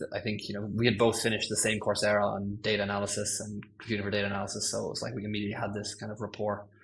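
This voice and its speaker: Somewhat breathy and very fast, this voice has an Irish accent and a monotone, flat intonation. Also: man, fairly low pitch for a man. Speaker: senior ML engineer. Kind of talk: podcast interview. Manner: hesitant, many fillers.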